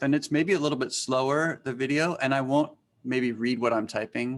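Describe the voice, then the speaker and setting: The man's speech shows ordinary pitch variation. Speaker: teacher. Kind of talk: webinar presentation. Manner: fast.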